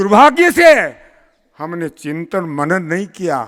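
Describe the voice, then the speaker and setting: Pitch leaps very widely in this man's bright, sharp voice. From Rajasthan, Shekhawati region. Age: 80s+. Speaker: community leader. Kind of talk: public speech.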